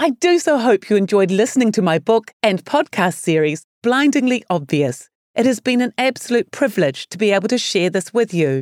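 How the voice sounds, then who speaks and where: A woman with a New Zealand accent and a fairly high voice swings her pitch very widely, recorded dry and close with no echo on a very clean track with a silent background. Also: moderate pace. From New Zealand, Palmerston North. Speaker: author and social entrepreneur. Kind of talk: scripted narration.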